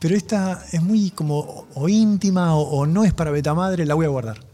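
Music plays in the background as a man speaks. His pitch is fairly high, with ordinary variation. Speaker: rock musician. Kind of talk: casual chat. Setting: studio.

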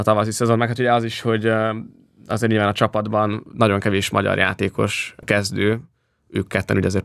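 Talking at a very fast pace, a man keeps a monotone, flat intonation at a fairly low pitch, recorded very cleanly against a silent background. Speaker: podcast host. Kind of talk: casual chat.

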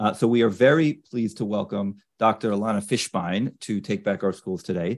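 This man has an unremarkable speaking voice with fairly low pitch. He talks at a moderate pace with ordinary pitch variation. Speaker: podcast co-host. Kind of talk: interview.

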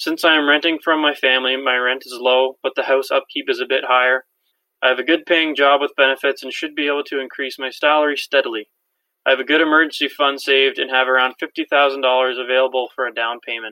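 The speaker uses a Canadian accent at a very fast pace with monotone, flat intonation. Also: man. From Ontario, Canada. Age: 20s. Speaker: listener asking a question. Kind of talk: recorded voicemail question.

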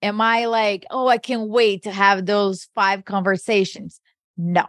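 At a fairly slow pace, a woman of medium pitch speaks in a flat monotone with a Portuguese accent against a quiet background. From Brazil. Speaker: podcast co-host. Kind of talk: casual interview chat.

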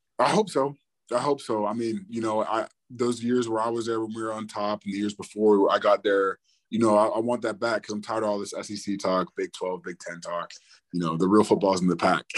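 Against a quiet background, an unremarkable speaking voice shows ordinary pitch variation. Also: man, fairly low pitch for a man. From US, partly raised in Australia. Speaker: football player. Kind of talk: interview. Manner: casual, many fillers.

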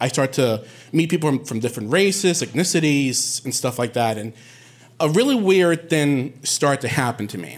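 A man with an American accent, fairly high pitch and lively intonation at a moderate pace. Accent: sounds non-Puerto Rican, American. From Puerto Rico, Bayamón. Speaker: storyteller. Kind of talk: live storytelling.

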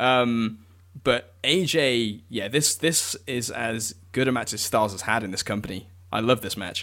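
The speaker has an English accent and a bright, sharp tone. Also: man, medium pitch for a man, ordinary pitch variation, fairly slow pace. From England. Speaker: wrestling author. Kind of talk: casual chat.

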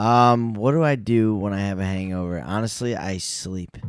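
A man with a fairly low pitch, ordinary pitch variation and a fairly slow pace. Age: 20s. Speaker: actor. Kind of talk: casual chat. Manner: halting.

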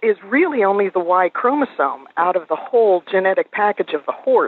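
A woman speaks at a moderate pace in a plain, everyday voice. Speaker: pedigree consultant. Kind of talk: interview.

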